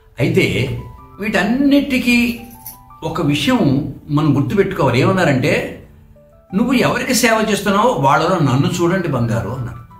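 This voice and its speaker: A high-pitched male voice with very wide pitch swings, music in the background and audible room echo. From Andhra Pradesh. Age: 80s+. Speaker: devotee and retired engineer. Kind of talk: testimony.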